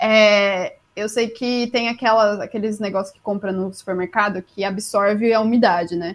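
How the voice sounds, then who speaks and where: The speech moves at a moderate pace with hardly any pauses and fairly even intonation. Its loudness swings in big jumps. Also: woman, medium pitch for a woman. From interior of São Paulo state (Jundiaí). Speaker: booktuber. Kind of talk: casual chat. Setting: live-streamed podcast, remote call.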